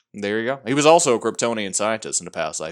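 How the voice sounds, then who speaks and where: Very fast and animated, a man speaks in a medium pitch with lively intonation. The recording is very clean, with a silent background. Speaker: comic book podcast host. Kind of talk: casual banter podcast chat. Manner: animated, joking.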